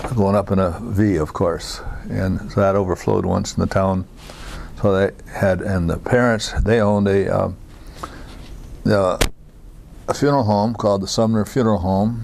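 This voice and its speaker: A man with an American accent speaks at a moderate pace and fairly low pitch, with fairly even intonation and very even loudness. Long, frequent pauses break up his speech, and background noise is noticeable. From US Midwest, Iowa. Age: 80s+. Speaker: war veteran. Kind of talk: oral history interview. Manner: halting, many fillers.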